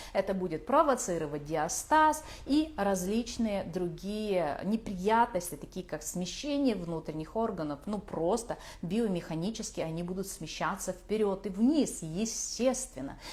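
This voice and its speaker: Very wide pitch swings run through talking at a moderate pace. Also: woman. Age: 40s. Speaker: craniosacral therapist, course author. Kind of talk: online lecture.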